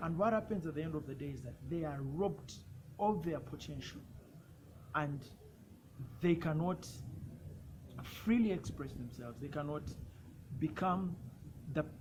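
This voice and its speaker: In a room with audible echo, a man speaks at a moderate pace and fairly high pitch, somewhat breathy, with lively intonation and long, frequent pauses. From Uganda. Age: 20s. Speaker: youth health rights advocate. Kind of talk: personal testimony and advocacy talk. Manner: some repetitions and self-corrections.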